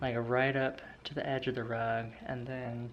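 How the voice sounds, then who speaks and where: This man speaks quietly at a moderate pace, his medium-pitched voice monotone and flat. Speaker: vlogger. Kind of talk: casual vlog narration. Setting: at home. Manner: speaking quietly; hesitant, filler-heavy.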